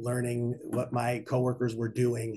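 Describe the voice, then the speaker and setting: A man talks at a medium pitch. His voice is somewhat breathy. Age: 50s. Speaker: bank executive and conference speaker. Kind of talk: conference talk. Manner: fast.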